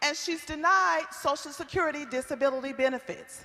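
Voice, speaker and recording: Against noticeable background noise, a woman with an American accent uses a raised, projected voice at a moderate pace. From Iowa, Waterloo. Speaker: community activist. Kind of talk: testimony at public forum. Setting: stage with audience.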